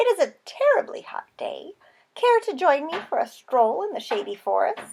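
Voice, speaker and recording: A woman does a put-on character voice, pitched extremely high and delivered at a medium speed. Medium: read story. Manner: sly, scheming.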